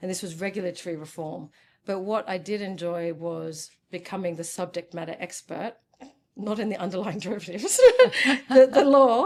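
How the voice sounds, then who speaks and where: A woman with an Australian accent talks with big swings in loudness. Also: medium pitch for a woman, ordinary pitch variation, moderate pace. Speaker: ADHD coach and former lawyer. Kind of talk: interview. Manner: animated.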